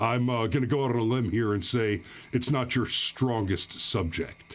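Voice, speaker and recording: At a moderate pace, a man talks in an unremarkable speaking voice with ordinary pitch variation and very even loudness. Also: medium pitch for a man. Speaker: livestream host commenting on gun news. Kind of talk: live stream commentary reading chat and articles. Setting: live stream with chat. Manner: sarcastic, mocking.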